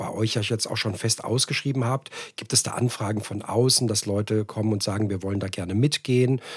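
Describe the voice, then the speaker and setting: Fairly even intonation and a fairly quick pace come through over noticeable background noise. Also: man. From Hesse, Frankfurt area, Germany. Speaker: podcast host. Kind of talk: casual interview.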